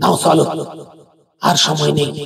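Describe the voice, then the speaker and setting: A man puts on a character voice. It sounds strained and fairly high-pitched. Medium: audio drama.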